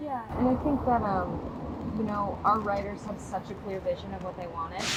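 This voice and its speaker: A woman with an American accent talks at a moderate pace, her medium pitch showing ordinary variation. Noticeable background noise runs behind her. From United States. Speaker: actress. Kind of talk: casual interview chat.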